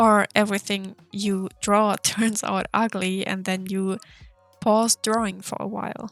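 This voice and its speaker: A woman's monotone, flat delivery at a fairly slow pace, with music in the background. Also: medium pitch for a woman. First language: not English. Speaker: art content creator. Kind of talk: casual chat while drawing. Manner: hesitant, with filler words.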